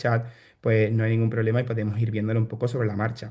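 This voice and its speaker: A man speaks very fast in a somewhat breathy voice with a dark, mellow tone. The background is quiet. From Spain, Seville (Andalusia). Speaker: bioinformatician and startup founder. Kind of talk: online workshop presentation. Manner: hesitant, many fillers and repetitions.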